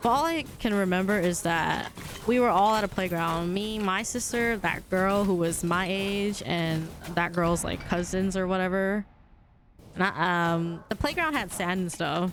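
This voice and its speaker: A woman's voice at very even loudness, with audible room echo. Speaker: video game streamer. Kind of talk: casual chat. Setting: live stream. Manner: sounds aggressive.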